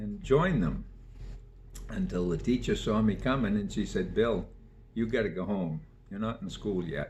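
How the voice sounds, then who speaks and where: The speech moves at a moderate pace with long, frequent pauses. Audible room echo can be heard. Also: man. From Maine (Sabattus area). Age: 80s+. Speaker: local elder interviewee. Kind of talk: oral history interview.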